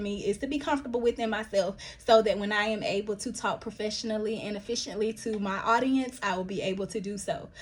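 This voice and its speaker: Somewhat breathy, a woman with an American accent talks very fast with hardly any pauses. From US South, Milledgeville, Georgia. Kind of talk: casual vlog monologue. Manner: halting, many fillers and restarts.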